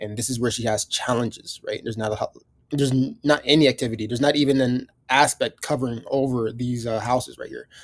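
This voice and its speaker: A man talks at a very fast pace with a medium pitch. His intonation stays fairly even. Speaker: astrology teacher. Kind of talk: live astrology reading. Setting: video recording with client present. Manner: hesitant, many fillers.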